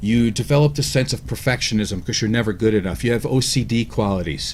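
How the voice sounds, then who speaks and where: A man speaks very fast at a medium pitch. Vocal fry creaks through his words. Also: ordinary pitch variation. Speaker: radio show co-host. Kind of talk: radio talk discussion.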